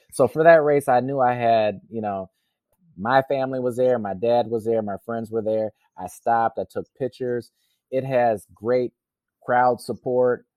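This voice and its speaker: In an American accent, a man with a medium pitch talks at a moderate pace with fairly even intonation in a normal speaking voice. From US Midwest, Racine, Wisconsin. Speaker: triathlete. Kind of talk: interview.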